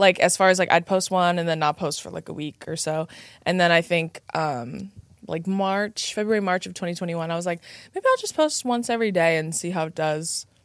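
Loudness swings widely at a fairly quick pace with ordinary pitch variation, on a very clean recording with a silent background. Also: woman, fairly low pitch for a woman. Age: 20s. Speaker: podcast host. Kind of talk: casual chat. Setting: studio. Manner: animated.

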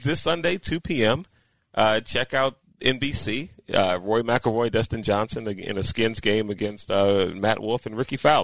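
A man with an ordinary speaking voice speaks fairly slowly at a medium pitch with lively intonation, in a dry, close sound with no echo against a quiet background. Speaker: co-host. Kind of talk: casual chat.

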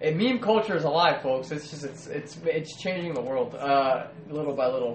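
This man talks at a fairly quick pace, with a fairly high pitch and lively intonation. Noticeable background noise and audible room echo are present. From US, Mexican-American family. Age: 20s. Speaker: pop culture podcast co-host. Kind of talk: casual chat.

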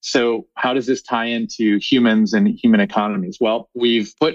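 In an American accent, a man with a normal speaking voice talks at medium pitch and a moderate pace, his intonation fairly even. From US Midwest, Chicago. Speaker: reforestation scientist and executive. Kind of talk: interview.

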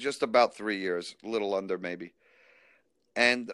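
This man talks at a moderate pace in a bright, sharp tone, with ordinary pitch variation. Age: 60s. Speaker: recovered alcoholic sharing his story. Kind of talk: testimony.

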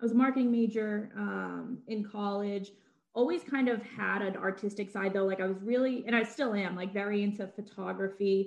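A woman speaks in an ordinary speaking voice at a moderate pace, with medium pitch and fairly even intonation. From Massachusetts, greater Boston area. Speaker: antiques content creator. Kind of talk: casual chat.

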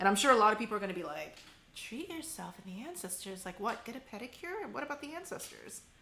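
At a very fast pace, a woman with an American accent talks at a fairly high pitch, with very wide pitch swings and big swings in loudness, amid noticeable background noise. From Korean American. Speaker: podcast host. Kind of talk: interview.

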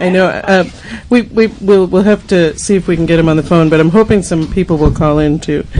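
Over noticeable background noise, a woman speaks at a fairly quick pace in a fairly low voice with fairly even intonation. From Boston. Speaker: community radio host. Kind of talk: casual radio chat and interview. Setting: radio studio.

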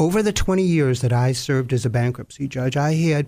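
At a moderate pace, a man talks in a medium-pitched voice with a dark, mellow tone. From US, Sicilian immigrant family. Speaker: retired bankruptcy judge. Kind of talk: interview.

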